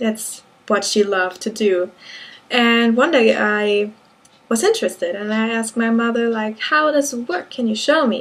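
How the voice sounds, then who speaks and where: With a German accent, a woman speaks at a moderate pace and fairly high pitch, using ordinary pitch variation. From Germany. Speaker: knitting vlogger. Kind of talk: casual monologue. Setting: indoors at home, window closed. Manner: halting.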